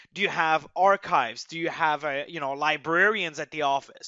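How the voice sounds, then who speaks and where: The speaker has a slight French accent and keeps a fairly quick pace. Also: man. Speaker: software migration expert, webinar presenter. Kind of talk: webinar presentation.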